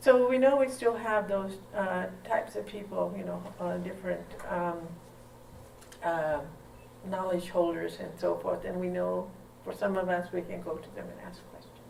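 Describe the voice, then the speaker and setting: A woman speaks with big swings in loudness and long, frequent pauses, amid noticeable background noise and audible room echo. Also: moderate pace. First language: O'odham. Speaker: linguistics professor. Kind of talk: lecture.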